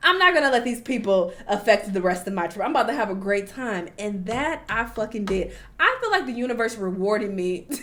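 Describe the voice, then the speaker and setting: A woman with an American accent talks at a fairly quick pace and fairly high pitch, hardly pausing. Her intonation is lively and her tone animated, with noticeable background noise behind her. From United States. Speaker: travel vlogger. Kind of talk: casual vlog commentary.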